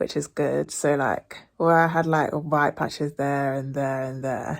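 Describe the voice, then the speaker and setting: With a British accent, a woman speaks fairly slowly in a very deep, low pitch and a monotone, flat intonation. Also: very clean recording, silent background. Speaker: vlogger. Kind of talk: casual vlog chat. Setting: at home. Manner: rambling, casual.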